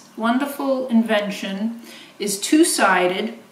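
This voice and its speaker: A woman with a fairly high pitch speaks at a very slow pace, with audible room echo and noticeable background noise. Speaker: beading designer and inventor. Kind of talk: product demonstration. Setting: home video filmed by husband. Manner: halting, many fillers.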